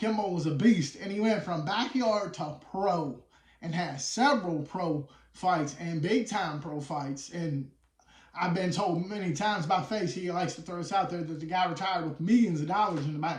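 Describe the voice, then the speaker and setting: With a West Virginia accent, a man speaks at a high pitch. His pace is moderate. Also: ordinary pitch variation. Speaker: wheelchair boxer. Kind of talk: casual interview chat. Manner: animated.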